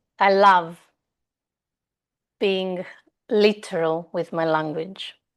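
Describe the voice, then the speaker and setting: Against a quiet background, a woman with a Greek accent talks at a very slow pace. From Greece. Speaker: somatic movement mentor. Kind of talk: interview conversation.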